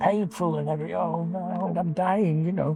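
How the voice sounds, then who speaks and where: A man delivers his words with lively intonation as music plays in the background. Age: 80s+. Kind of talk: interview answer. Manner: casual storytelling.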